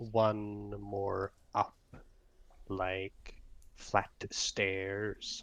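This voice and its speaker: A man uses a put-on character voice at a fairly low pitch. His intonation is monotone and flat. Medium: actual play. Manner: clipped, broken grammar, refers to self in third person.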